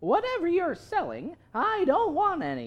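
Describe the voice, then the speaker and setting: A woman puts on a character voice. She pitches it extremely high. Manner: gruff, dismissive.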